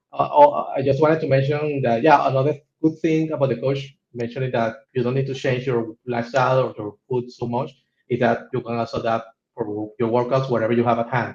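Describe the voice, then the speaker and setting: A man's voice comes out somewhat breathy. He talks fairly quickly. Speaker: coaching client, type 1 diabetic. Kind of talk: testimonial interview. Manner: halting, many repetitions and fillers.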